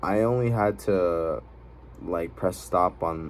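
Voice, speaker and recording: With lively intonation, a man speaks fairly slowly in a very deep, low pitch. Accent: non-native. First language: not English. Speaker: vlogger. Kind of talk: personal vlog monologue. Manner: fillers and self-corrections.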